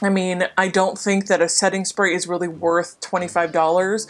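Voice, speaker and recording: A woman is speaking. Her pitch is medium. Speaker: beauty vlogger. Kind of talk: casual chat.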